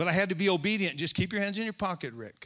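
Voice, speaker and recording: An animated man's voice, high-pitched with a bright, sharp tone, on a very clean recording with a silent background. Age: 60s. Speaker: preacher. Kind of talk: sermon. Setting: church stage with congregation.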